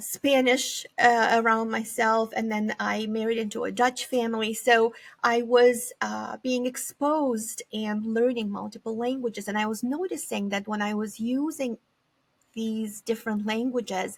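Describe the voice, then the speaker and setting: Speaking with a Romanian accent, a woman uses a fairly high pitch and fairly even intonation at a fairly slow pace. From Eastern Europe, former Soviet republic (Moldova). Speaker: psychology professor. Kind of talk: interview conversation.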